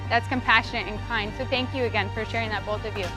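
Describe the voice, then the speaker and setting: A woman's voice with music in the background. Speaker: motivational speaker; psychologist. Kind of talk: motivational talk to students.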